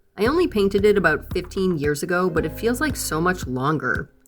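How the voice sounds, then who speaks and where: Over music in the background, a woman speaks at a medium pitch with very wide pitch swings. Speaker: furniture refinishing DIY creator. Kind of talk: vlog outro and blooper outtakes. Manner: sounds mad even when happy.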